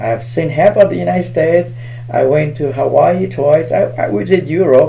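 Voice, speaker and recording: A man with a fairly high pitch is heard amid audible room echo and noticeable background noise. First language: Hmong. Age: 60s. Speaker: spiritual healer. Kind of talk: live stream talk.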